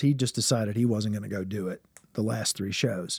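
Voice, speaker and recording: With a normal speaking voice, a man is talking. His pace is moderate. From US South, Richmond, Virginia. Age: 50s. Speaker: musical comedian. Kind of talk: casual chat.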